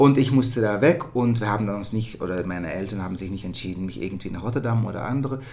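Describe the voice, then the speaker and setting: Hardly pausing, a man speaks at a very fast pace with a fairly low pitch and ordinary pitch variation, in audible room echo. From Netherlands. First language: Dutch (speaking German). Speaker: musical theatre performer. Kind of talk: casual interview. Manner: halting.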